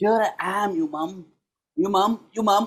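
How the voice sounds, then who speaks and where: A man speaks at a very slow pace. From South India. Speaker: storyteller and festival session host. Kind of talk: interview; reading aloud a picture book.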